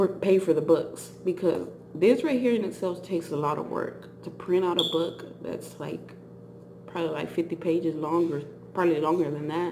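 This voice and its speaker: The pace is moderate, with ordinary pitch variation. Audible room echo surrounds the voice. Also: woman. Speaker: vlogger. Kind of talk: casual chat. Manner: halting.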